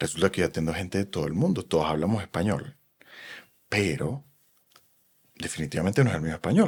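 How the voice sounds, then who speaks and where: The recording is very clean, and the background is silent. A man speaks fairly quickly, his pitch swinging very widely. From Venezuela. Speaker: psychoanalyst. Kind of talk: podcast interview.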